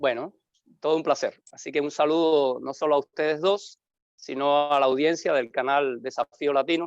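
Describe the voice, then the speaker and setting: A man's fairly high-pitched voice with a Havana accent, fairly even intonation and a moderate pace, in a dry, close sound with no echo. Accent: Havana Cuban, little eastern Cuban trace. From Cuba, Havana. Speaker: pastor. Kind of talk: interview.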